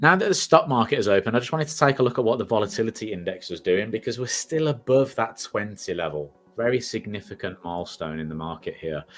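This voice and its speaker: Backed by music, a man at a medium pitch talks very fast with very wide pitch swings and hardly any pauses. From England, Birmingham. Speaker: market analyst. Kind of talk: live market analysis stream with viewer Q&A. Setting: live stream.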